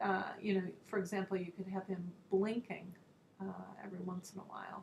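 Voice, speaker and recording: A woman speaks at medium pitch and a moderate pace, with vocal fry. Her intonation stays monotone and flat. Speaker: art teacher. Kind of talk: tutorial.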